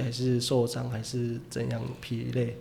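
There is audible room echo around the man speaking. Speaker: professional baseball player. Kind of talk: casual interview chat.

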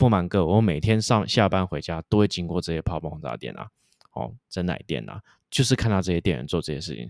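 In a Taiwanese accent, a man speaks at a very fast pace with very deep, low pitch, vocal fry and lively intonation, recorded very cleanly with a silent background and a dry, close sound with no echo. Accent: Taiwanese Mandarin. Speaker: investment podcast host. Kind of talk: solo commentary on a company. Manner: many fillers, hesitant.

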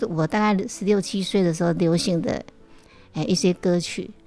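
The very clean recording, set against a silent background, carries speech with ordinary pitch variation. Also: woman. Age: 60s. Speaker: cancer patient and retired yoga teacher. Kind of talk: casual chat. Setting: at home.

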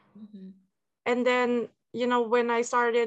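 A woman talks at a fairly high pitch and moderate pace in a dry, close sound with no echo. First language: Tagalog and English. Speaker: researcher and language learner. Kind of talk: interview. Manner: casual, with many fillers.

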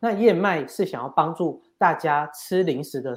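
A man's plain, everyday voice, moderate in pace and lively in intonation, on a very clean recording with a silent background. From Taiwan, Yunlin (Gukeng). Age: 30s. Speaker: entrepreneur, company head. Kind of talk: interview.

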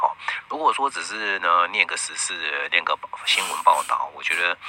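A man's voice over noticeable background noise. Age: 50s. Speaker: radio host and astrologer. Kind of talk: radio monologue. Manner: filler-heavy, frequent 啊 and 哦.

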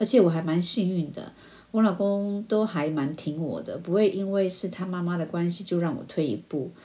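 Speaking with a Taiwanese accent, a woman uses a dark, mellow tone at medium pitch, with ordinary pitch variation and a moderate pace. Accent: Taiwanese Mandarin. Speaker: podcast host. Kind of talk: casual monologue.

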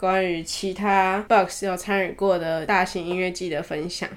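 A woman with a Taiwanese accent speaks at a moderate pace in an animated tone, her pitch sitting in the medium range. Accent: Taiwanese Mandarin. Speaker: podcast host. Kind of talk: casual chat. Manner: animated, laughing.

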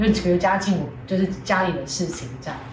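A woman with a medium pitch talks at a fairly quick pace. Noticeable background noise and audible room echo accompany her. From Taiwan, Hualien. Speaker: band lead singer. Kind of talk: casual interview chat.

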